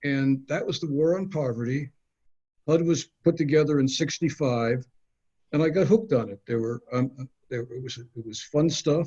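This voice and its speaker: A man with an American accent speaks somewhat breathily at a fairly high pitch, with ordinary pitch variation. His loudness swings a lot. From Minnesota, north Minneapolis. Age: 70s. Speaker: housing attorney. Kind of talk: interview. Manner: halting.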